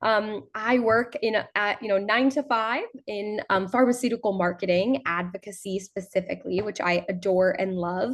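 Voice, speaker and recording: A normal speaking voice at a moderate pace with ordinary pitch variation and hardly any pauses. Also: woman, medium pitch for a woman. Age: 20s. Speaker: youth advocate. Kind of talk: webinar presentation.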